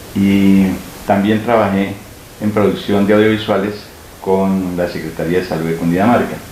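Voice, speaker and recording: A man keeps a moderate pace and fairly even intonation amid noticeable background noise and audible room echo. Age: 60s. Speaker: local historian and journalist. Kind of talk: interview. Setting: at home. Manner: hesitant with fillers.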